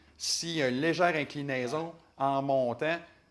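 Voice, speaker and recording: This man speaks with a Quebec accent. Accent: Québécois French. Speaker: motorcycle journalist. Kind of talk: casual chat. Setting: studio.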